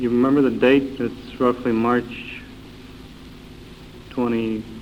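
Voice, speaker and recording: Noticeable background noise behind a man's medium-pitched voice, monotone and flat, at a fairly slow pace. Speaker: folk music interviewer. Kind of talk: interview questions.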